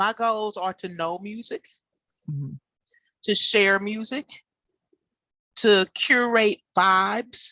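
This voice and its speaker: A woman with an American accent speaks very slowly at a medium pitch, her bright, sharp tone marked by big swings in loudness, ordinary pitch variation, and long, frequent pauses. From Texas. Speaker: DJ. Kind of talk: interview.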